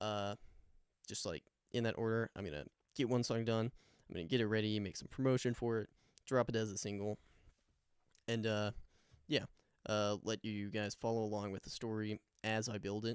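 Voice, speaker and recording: A man at a fairly quick pace with fairly even intonation and long, frequent pauses, in a dry, close sound with no echo. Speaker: musician. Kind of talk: casual vlog talk. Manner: hesitant, many fillers.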